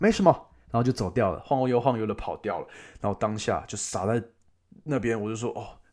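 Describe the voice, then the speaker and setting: On a very clean recording with a silent background, a man speaks at a medium pitch and a very fast pace. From Taiwan. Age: 20s. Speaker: travel podcast host. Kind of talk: casual travel storytelling monologue. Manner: animated.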